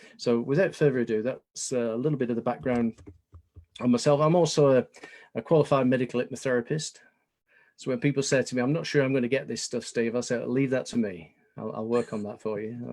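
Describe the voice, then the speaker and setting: In a British accent, a man talks at a very fast pace. His pitch is medium, with ordinary variation. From England. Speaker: business consultant. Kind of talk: webinar presentation.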